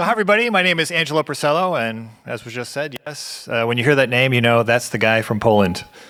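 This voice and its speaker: A man with an American accent at a medium pitch, very fast and nearly pause-free, lively in intonation, with noticeable background noise. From US Midwest, Ohio. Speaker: event moderator. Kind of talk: event introduction.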